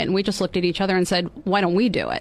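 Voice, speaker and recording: A woman with an American accent talks at a very fast pace in a medium pitch with vocal fry. Her intonation is monotone and flat. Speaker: mayor and county supervisor candidate. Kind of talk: radio interview. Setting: studio.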